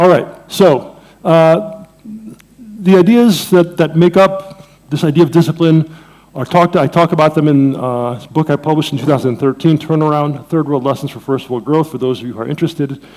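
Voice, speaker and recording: A man with a plain, everyday voice and an American accent talks fairly quickly at a fairly high pitch, with ordinary pitch variation and big swings in loudness. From Jamaica, Saint Mary. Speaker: economics professor. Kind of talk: conference lecture. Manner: conversational, with fillers.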